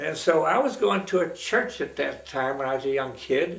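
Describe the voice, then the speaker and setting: In an American accent, someone speaks at a moderate pace, with audible room echo and noticeable background noise. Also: man. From Pennsylvania, Pittsburgh. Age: 90s. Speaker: retired radio man telling life stories. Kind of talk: personal reminiscence. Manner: halting, with many fillers.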